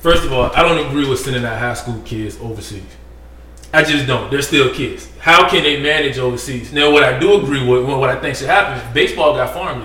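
This man's voice sits fairly high and moves at a fairly quick pace. His pitch varies in an ordinary way, with noticeable background noise behind him. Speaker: sports podcast co-host. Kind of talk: heated debate. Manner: loud, interrupting, talking over others; argumentative, insistent.

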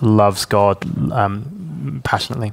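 With a southern English accent, a man speaks at a fairly low pitch and ordinary pitch variation over noticeable background noise. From southern England (Hampshire), teens in Hong Kong. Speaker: pastor. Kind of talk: interview.

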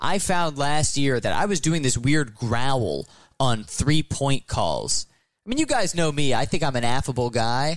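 This man sounds animated and upbeat, with a fairly high pitch, ordinary pitch variation and a fairly slow pace. His loudness stays very even on a very clean recording with a silent background. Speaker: sports broadcaster. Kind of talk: interview chat about broadcasting. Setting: baseball stadium booth. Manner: animated, upbeat.

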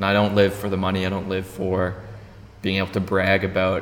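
Against noticeable background noise and audible room echo, a man with a very deep, low pitch talks at a fairly quick pace in a monotone, flat intonation. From Ontario, Canada (small town). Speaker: podcast host. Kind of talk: casual interview chat. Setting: arts centre venue.

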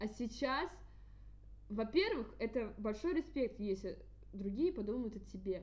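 A woman with a fairly high pitch and vocal fry speaks at a fairly slow pace, her lively intonation broken by long, frequent pauses. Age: 20s. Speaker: podcast host, student. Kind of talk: casual chat.

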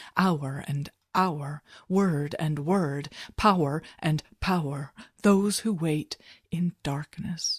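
Recorded very cleanly over a silent background, a woman speaks with a very deep, low pitch and a somewhat breathy quality. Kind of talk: poem reading. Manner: slow, solemn, meditative delivery.

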